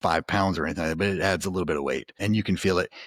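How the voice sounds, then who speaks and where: A man's very deep, low voice with ordinary pitch variation, in a dry, close sound with no echo and a very clean recording with a silent background. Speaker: home gym podcast host. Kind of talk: casual product review chat. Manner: halting, many fillers and restarts.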